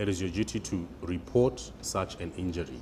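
A man talks at a fairly slow pace in a very deep, low pitch. Light background noise sits behind him. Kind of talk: interview answer. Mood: calm explanatory. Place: office. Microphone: lapel.

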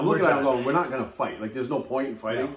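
A man's voice comes through with audible room echo. It sounds somewhat breathy. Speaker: guest. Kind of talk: interview answer. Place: home room. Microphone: camera far.

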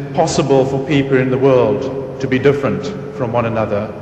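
A man's fairly high voice is heard with music playing behind it. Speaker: diplomat. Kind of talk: welcome speech. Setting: stage with audience.

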